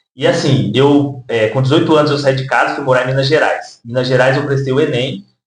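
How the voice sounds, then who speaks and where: A fairly quick pace from a man with a fairly high pitch. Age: 20s. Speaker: social worker and rapper. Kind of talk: interview. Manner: hesitant with fillers.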